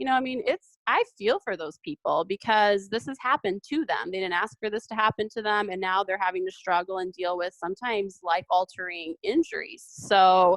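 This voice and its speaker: Talking at a fairly quick pace with hardly any pauses, a woman at a medium pitch uses lively intonation, captured with a dry, close sound and no echo. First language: Serbo-Croatian. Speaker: lawyer. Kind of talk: interview.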